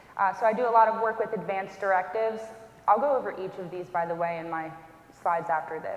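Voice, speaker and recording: Talking at a very fast pace, a woman uses a medium pitch with ordinary pitch variation. Noticeable background noise and audible room echo are present. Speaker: hospice social worker. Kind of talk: educational talk. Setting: church event with audience. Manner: soft-spoken.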